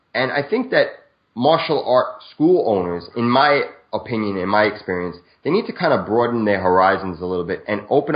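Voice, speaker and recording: A man speaks in a normal speaking voice at a medium pitch. His pace is fairly quick. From Brooklyn, New York. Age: 40s. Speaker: video marketer and martial artist. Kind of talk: interview.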